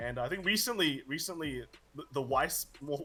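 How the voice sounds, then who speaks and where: A man with an Australian accent, fairly high-pitched, with lively intonation. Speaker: card game player and content creator. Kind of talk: casual interview chat.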